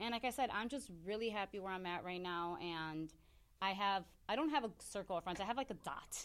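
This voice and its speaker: A woman's ordinary speaking voice, an ordinary speaking voice at medium pitch, with lively intonation and a fairly quick pace. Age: 30s. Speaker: hairstylist and salon owner. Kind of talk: casual chat. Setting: studio.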